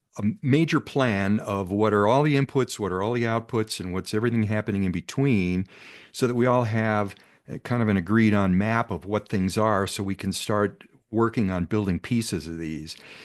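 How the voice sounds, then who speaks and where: A man talks in a fairly low voice with ordinary pitch variation. The background is quiet. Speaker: meeting host, hydrogen network organizer. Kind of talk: online meeting presentation. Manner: fast; hesitant, many fillers.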